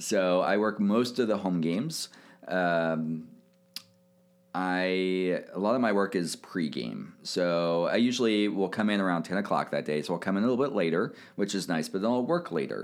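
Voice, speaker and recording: With an American accent, a man with a very deep, low pitch speaks at a moderate pace, with ordinary pitch variation and very even loudness. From Kansas City, US Midwest. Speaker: sports team sponsorship manager. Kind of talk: casual interview.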